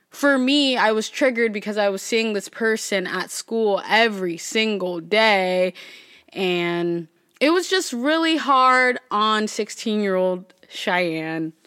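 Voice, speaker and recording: Lively intonation marks this woman's fairly high, bright, sharp voice. She speaks very slowly. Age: 20s. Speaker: podcast host. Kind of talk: casual solo monologue.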